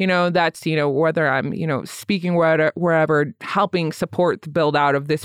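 Delivered at a fairly quick pace, this is a normal speaking voice. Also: woman. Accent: American. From Michigan, US Midwest. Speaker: social worker and podcaster. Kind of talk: casual interview chat.

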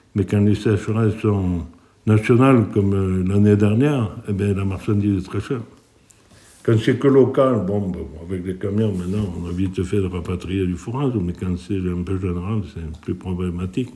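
A man with a dark, mellow tone speaks at a fairly low pitch with ordinary pitch variation. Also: moderate pace. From France, Lozère (Aubrac plateau). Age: 60s. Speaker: cattle farmer. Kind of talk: interview testimony. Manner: halting, with frequent hesitations.

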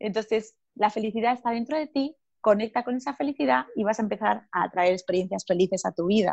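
A woman talks at a fairly quick pace with hardly any pauses, using a plain, everyday voice with a fairly high pitch and lively intonation. The sound is dry and close, with no echo. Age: 30s. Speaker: personal growth coach and author. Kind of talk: interview.

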